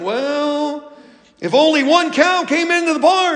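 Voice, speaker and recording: A drawling, put-on character voice with a high pitch moves at a fairly slow pace through audible echo. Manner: slow, drawling.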